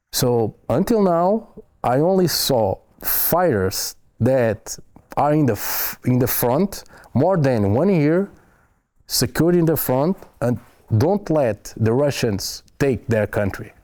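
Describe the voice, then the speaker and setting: A man speaks at a very slow pace with long, frequent pauses, very wide pitch swings and very even loudness. His tone is dark and mellow, in a very clean recording with a silent background. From Portugal. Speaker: foreign volunteer soldier. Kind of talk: interview. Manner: halting, with hesitations and repeats.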